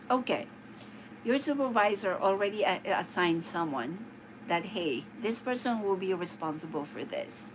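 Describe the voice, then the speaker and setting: Audible room echo surrounds a woman with a Filipino accent who speaks at medium pitch and a moderate pace, her intonation lively. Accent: Filipino-accented English (immigrant English). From Philippines. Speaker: live streamer. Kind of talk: casual livestream chat. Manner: halting, many fillers.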